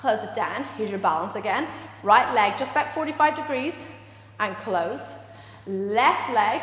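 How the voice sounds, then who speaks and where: A woman speaks at a moderate pace with lively intonation. Audible room echo and noticeable background noise surround her. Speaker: dance and movement instructor. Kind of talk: live exercise class instruction. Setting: dance studio, live stream.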